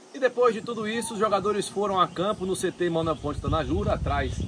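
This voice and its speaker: There is noticeable background noise. A man speaks through it at a moderate pace. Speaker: sports reporter. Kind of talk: sports news vlog. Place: open country.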